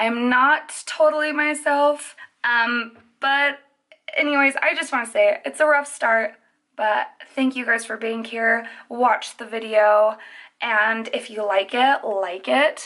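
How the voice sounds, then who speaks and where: A woman speaks at a very slow pace in a high voice against a quiet background. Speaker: makeup artist youtuber. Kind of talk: makeup tutorial. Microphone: phone near.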